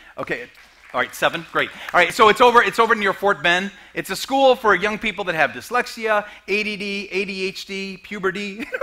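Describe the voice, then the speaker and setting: A man's raised, projected voice, high in pitch with ordinary pitch variation, at a fairly quick pace amid noticeable background noise. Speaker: comedian and motivational speaker. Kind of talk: sermon. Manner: fast; halting.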